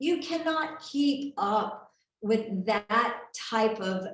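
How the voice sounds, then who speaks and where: There is audible room echo around a woman's fairly high voice. Her tone is animated, with lively intonation. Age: 60s. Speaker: health and wellness seminar presenter. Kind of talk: sales presentation.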